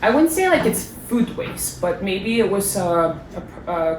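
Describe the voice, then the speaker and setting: With an American accent, a woman of medium pitch talks at a fairly slow pace amid noticeable background noise and audible room echo. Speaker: former exchange student. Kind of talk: casual interview. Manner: hesitant, with fillers and repeats.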